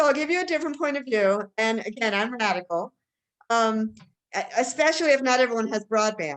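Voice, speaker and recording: Lively intonation marks a woman's plain, everyday voice. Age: 60s. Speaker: meeting organizer. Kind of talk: video meeting discussion.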